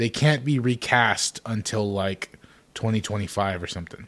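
This man has an unremarkable speaking voice. His intonation is lively. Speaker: podcast co-host. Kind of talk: casual chat, podcast banter.

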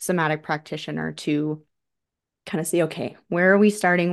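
Over a quiet background, a woman with an American accent has an unremarkable speaking voice, a fairly low pitch and fairly even intonation. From Colorado, US. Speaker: somatic practitioner. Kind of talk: casual chat.

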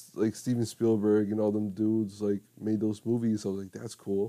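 A man with a dark, mellow tone and fairly low pitch speaks with fairly even intonation. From Mexico. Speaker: college student podcaster. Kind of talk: casual banter. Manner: joking.

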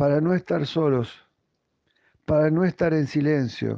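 A man with an Argentine accent talks at a very slow pace and a fairly high pitch. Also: dry, close sound with no echo. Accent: Argentine Spanish (voseo). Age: 60s. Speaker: pastor. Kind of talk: devotional talk.

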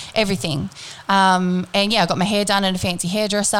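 A woman speaks in an Australian accent. Her pace is very fast. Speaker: podcast host. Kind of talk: casual chat; scripted intro.

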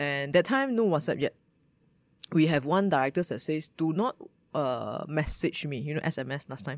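Speaking with a Malaysian accent at a moderate pace, the voice carries lively intonation in a very clean recording with a silent background. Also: woman, very deep, low pitch for a woman. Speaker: startup founder, former lawyer. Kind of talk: interview.

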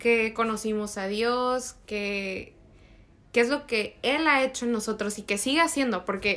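On a very clean recording with a silent background, a woman with a fairly high pitch and a bright, sharp tone speaks at a fairly slow pace. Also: ordinary pitch variation. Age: 20s. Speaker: podcast co-host. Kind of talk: casual chat.

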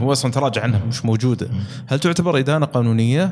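Through noticeable background noise, the speaker talks at a very fast pace with ordinary pitch variation. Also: man. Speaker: podcast host. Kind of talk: podcast interview.

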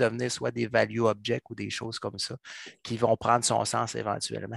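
Speaking at a moderate pace and medium pitch, a man shows vocal fry in a dry, close recording with no echo and a quiet background. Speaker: software coach. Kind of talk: casual chat.

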